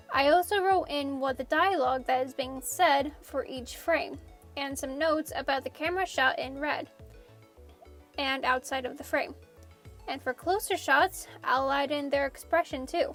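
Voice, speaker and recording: With music in the background, a woman talks at a moderate pace, her high-pitched voice showing ordinary pitch variation. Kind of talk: casual art process narration.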